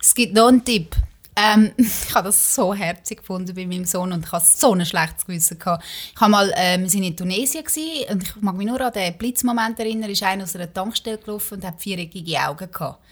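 A somewhat breathy, medium-pitched woman's voice at a very fast pace, with big swings in loudness and ordinary pitch variation. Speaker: podcast host. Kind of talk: casual chat.

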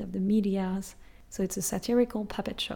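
Somewhat breathy woman of medium pitch, at a fairly slow pace. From France. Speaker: French language teacher podcaster. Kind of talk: language lesson. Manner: switches between French and English explanations.

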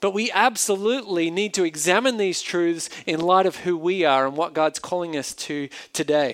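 A man with an Australian accent talks at a high pitch with ordinary pitch variation and hardly any pauses. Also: moderate pace. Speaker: pastor. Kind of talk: sermon. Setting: church.

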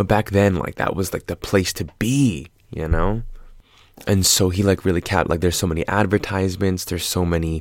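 On a very clean recording with a silent background, a man with an American accent speaks at a moderate pace with a very deep, low pitch. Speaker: podcast host, film commentator. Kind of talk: casual solo monologue. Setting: late night solo recording. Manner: animated.

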